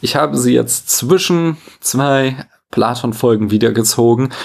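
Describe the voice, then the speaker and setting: With a normal speaking voice, a man talks fairly slowly at medium pitch and lively intonation in a very clean recording with a silent background. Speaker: philosophy podcaster. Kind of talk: scripted lecture-style monologue.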